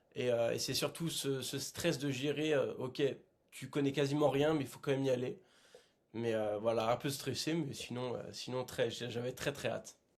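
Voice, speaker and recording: Moderate-paced speech from a man, fairly high in pitch. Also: fairly even intonation. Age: 20s. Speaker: adventurer. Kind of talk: podcast interview. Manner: hesitant, many filler sounds.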